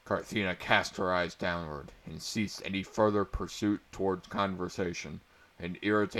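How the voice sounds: The intonation stays fairly even in a natural reading voice.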